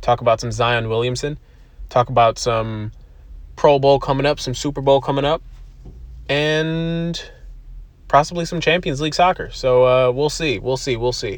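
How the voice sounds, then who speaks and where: Long, frequent pauses break up a man's moderate pace as he speaks with an American accent at a fairly high pitch with ordinary pitch variation. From US East Coast, from Buffalo, New York. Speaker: podcast host. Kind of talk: casual monologue. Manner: rambling, casual with frequent fillers and laughter.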